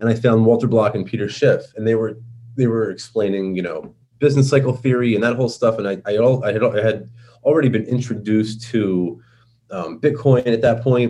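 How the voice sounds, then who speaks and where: Speaking at a fairly quick pace, a man with a New York accent has a dark, mellow tone, a medium pitch and fairly even intonation. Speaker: libertarian activist. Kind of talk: podcast interview. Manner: casual, many fillers.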